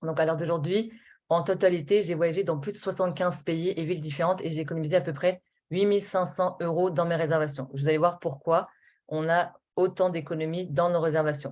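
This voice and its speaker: Her intonation fairly even, a woman with a fairly low voice talks at a fairly quick pace. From Normandy, France (Rouen). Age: 20s. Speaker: network marketing presenter. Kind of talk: sales pitch. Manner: hesitant, many fillers.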